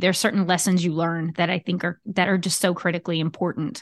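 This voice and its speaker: In an American accent, a woman talks at a fairly quick pace and a medium pitch. The sound is dry and close with no echo, over a quiet background. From Southern Louisiana, US (Cajun). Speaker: podcast host and leadership coach. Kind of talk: casual solo monologue.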